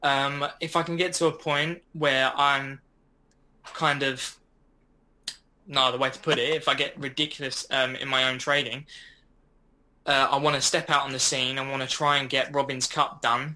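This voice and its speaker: Long, frequent pauses break up a monotone, flat delivery in an Essex accent with a bright, sharp tone. The recording is very clean, with a silent background. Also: man, fairly high pitch for a man, moderate pace. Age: 20s. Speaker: forex trader. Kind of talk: podcast interview.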